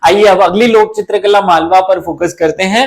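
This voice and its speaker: A man speaks with fairly even intonation. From Malwa region, Madhya Pradesh, India. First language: Malwi (speaking Hindi). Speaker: exam coaching teacher. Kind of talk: lecture.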